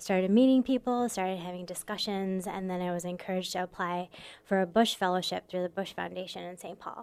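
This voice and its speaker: A woman talks at a very fast pace in a medium pitch, with fairly even intonation and big swings in loudness. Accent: American. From Michigan, US Midwest. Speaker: immigration lawyer and advocacy director. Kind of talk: radio interview. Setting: radio studio.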